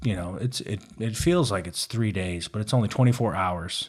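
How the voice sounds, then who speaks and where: This man has a plain, everyday voice, fairly low in pitch with ordinary pitch variation, on a very clean recording with a silent background. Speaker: Navy veteran. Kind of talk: casual chat.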